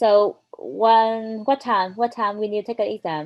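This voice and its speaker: Her pitch is fairly high, with ordinary variation. The woman speaks at a very slow pace. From Vietnam. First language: Vietnamese. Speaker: IELTS learner. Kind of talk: casual chat. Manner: halting.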